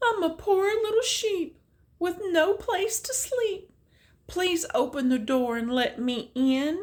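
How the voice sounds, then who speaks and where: A woman puts on a soft-spoken character voice at an extremely high pitch, with very wide pitch swings and a fairly slow pace. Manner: coaxing, deceptive.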